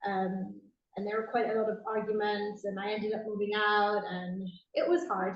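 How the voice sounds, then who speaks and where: A woman with a Welsh accent speaks at a moderate pace and medium pitch. Her intonation is fairly even, and room echo is audible. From South Wales. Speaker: expat interviewee. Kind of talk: casual interview.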